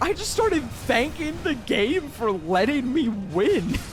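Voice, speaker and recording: A man with an extremely high pitch speaks at a fairly slow pace over noticeable background noise. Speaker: gaming youtuber. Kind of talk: gameplay commentary with narration.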